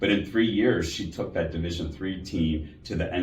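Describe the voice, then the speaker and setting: In a Chicago accent, a man with a very deep, low pitch speaks at a moderate pace and fairly even intonation. Music plays in the background. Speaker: healthcare executive. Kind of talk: interview.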